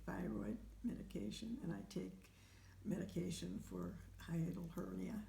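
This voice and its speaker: A woman talks at a fairly slow pace, and audible room echo fills the space around her. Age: 80s+. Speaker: home care client with heart conditions. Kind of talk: interview. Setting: at home. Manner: halting.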